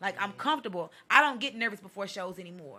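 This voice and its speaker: A woman's bright, sharp voice at a very fast pace, on a very clean recording with a silent background. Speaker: poet. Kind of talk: casual chat. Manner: loud.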